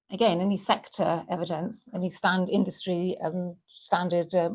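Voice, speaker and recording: A woman's fairly low, somewhat breathy voice holds a monotone, flat intonation at a moderate pace. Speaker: business workshop trainer. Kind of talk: online workshop presentation. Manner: halting, many fillers.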